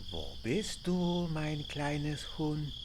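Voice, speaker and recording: A put-on character voice at middle pitch over loud background noise. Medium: actual play. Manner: taunting, menacing.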